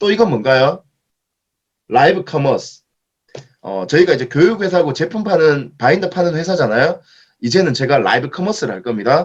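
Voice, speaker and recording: Using very wide pitch swings and vocal fry, a man talks at a fairly quick pace broken by long, frequent pauses. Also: fairly high pitch for a man. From Daegu, South Korea. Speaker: author and education company speaker. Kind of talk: Q&A at author lecture.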